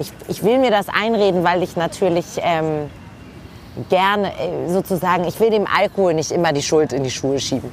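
A woman speaks in an ordinary speaking voice at a fairly low pitch. Her pace is moderate, with ordinary pitch variation. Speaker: lawyer, author and TV presenter. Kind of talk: casual chat. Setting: outdoors at a kiosk bar.

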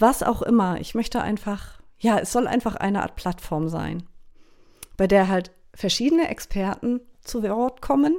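In a very clean recording with a silent background, a woman with a medium pitch and a dark, mellow tone speaks at a fairly slow pace with lively intonation. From northern Germany, Schleswig-Holstein Baltic coast. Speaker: bagpipe player and podcast host. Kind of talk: casual monologue.

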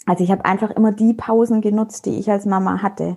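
A woman speaks at a moderate pace and medium pitch, somewhat breathy. Her intonation stays monotone and flat. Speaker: network marketer, mother. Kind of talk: casual interview. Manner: hesitant fillers.

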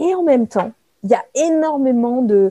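A woman with a dark, mellow tone talks at a fairly slow pace, her intonation lively. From France, Brignais near Lyon. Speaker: management coach and author. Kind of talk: casual interview. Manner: hesitant, many repetitions.

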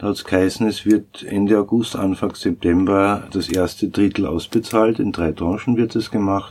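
A man with a normal speaking voice talks at a moderate pace and a fairly low pitch, with fairly even intonation and hardly any pauses. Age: 50s. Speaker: sound engineer and studio owner. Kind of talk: interview. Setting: recording studio.

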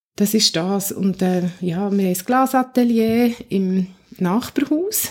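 This woman's voice has a dark, mellow tone. She talks at a very slow pace with ordinary pitch variation. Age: 40s. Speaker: church youth worker. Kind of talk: interview. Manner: halting.

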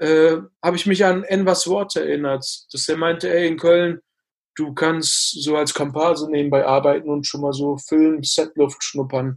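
A normal speaking voice from a man, fairly high in pitch, with fairly even intonation, moderate pace and a quiet background. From Ruhr area, Germany (Bottrop). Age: 20s. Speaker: actor. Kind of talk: interview.

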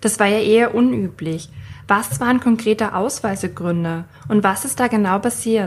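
A woman speaks at a moderate pace in a normal speaking voice, with medium pitch and ordinary pitch variation. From Austria. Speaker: podcast host. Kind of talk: interview questions and scripted narration.

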